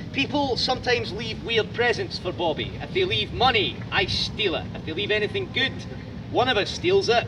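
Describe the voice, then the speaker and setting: Loud and with lively intonation, a man talks at a moderate pace over noticeable background noise. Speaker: tour guide. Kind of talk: guided tour talk. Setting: outdoors in a graveyard.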